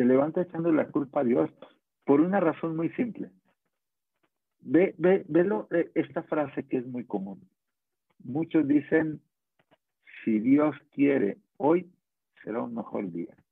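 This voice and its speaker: This man has a Mexican accent and a fairly high pitch. His intonation is lively, broken by long, frequent pauses. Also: fairly slow pace. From Mexico, Guadalajara. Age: 40s. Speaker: network marketing distributor, former carpenter. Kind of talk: motivational interview on a live stream.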